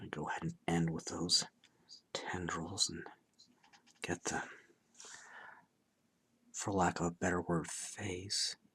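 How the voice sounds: Slow and marked by long, frequent pauses, a man speaks in a low pitch with a husky, rough edge, a fairly bright tone and little pitch movement.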